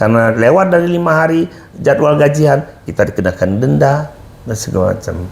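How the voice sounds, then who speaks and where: A man with a fairly high pitch talks at a fairly quick pace, his pitch swinging very widely. Noticeable background noise is present. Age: 60s. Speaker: HR practitioner and company manager. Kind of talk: talk show interview.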